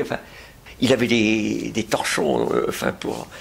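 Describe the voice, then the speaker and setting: Noticeable background noise under a fairly slow pace. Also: man. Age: 80s+. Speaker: retired pediatrician. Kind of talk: interview. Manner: halting, many hesitations.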